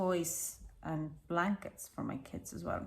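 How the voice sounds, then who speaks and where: With an Estonian accent, a woman of fairly low pitch talks at a fairly slow pace with fairly even intonation. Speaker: knitting designer and tutor. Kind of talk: casual tutorial chat.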